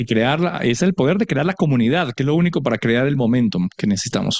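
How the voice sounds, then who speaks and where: A man talks at a very fast pace with lively intonation and very even loudness. The sound is dry and close, with no echo. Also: medium pitch for a man. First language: Spanish. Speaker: interpreter. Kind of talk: live interpretation into Spanish.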